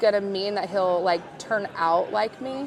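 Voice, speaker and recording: A woman talks with ordinary pitch variation. There is noticeable background noise behind her. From US West Coast (California desert). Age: 30s. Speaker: conference attendee sharing OCD story. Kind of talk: casual chat. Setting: booth at a conference.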